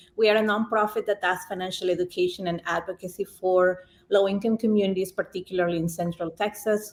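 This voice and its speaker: A woman's medium-pitched voice with a Spanish accent, very fast in pace and monotone, flat in intonation. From Peru. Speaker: nonprofit executive director. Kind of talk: podcast interview answer.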